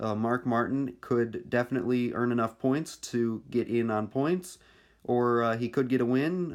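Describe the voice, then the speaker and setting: A man with an unremarkable speaking voice at medium pitch talks at a moderate pace with ordinary pitch variation and very even loudness, on a very clean recording with a silent background. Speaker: stop-motion racing series creator and commentator. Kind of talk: play-by-play race commentary.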